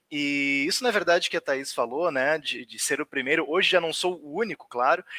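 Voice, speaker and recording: A man speaks at a fairly quick pace with ordinary pitch variation, his bright, sharp tone caught in a dry, close sound with no echo. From southern Brazil, Rio Grande do Sul (Porto Alegre area). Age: 30s. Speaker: writer. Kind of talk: online talk. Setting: livestream.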